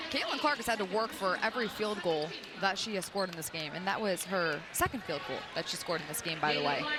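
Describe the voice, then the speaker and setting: A woman at medium pitch, very fast pace and lively intonation, with noticeable background noise. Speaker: color commentator. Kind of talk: live commentary. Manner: fast, occasionally stumbling.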